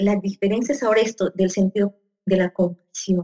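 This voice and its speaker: At a moderate pace, a woman with a medium pitch and a dark, mellow tone speaks with fairly even intonation in a dry, close sound with no echo. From Peru. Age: 40s. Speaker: psychologist and coach. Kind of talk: conversational interview.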